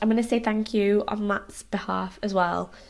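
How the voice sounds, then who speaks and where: A woman with a British accent and a fairly high pitch, on a very clean recording with a silent background. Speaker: lifestyle vlogger. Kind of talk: casual vlog to camera. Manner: rambling, hesitant with ums.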